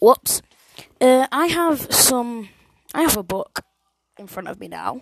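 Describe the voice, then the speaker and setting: A woman with an English accent speaks at a very slow pace in a high voice, her lively intonation and big swings in loudness broken by long, frequent pauses, all in a dry, close sound with no echo. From England. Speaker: solo podcaster. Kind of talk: casual monologue. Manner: animated.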